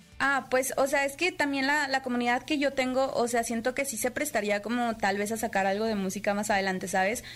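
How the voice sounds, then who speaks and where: With a Monterrey accent, a woman talks at a fairly quick pace in a high pitch, with ordinary pitch variation and hardly any pauses. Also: very clean recording, silent background. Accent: Monterrey-tinged Mexican. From Puebla, Mexico. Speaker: streamer. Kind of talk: interview.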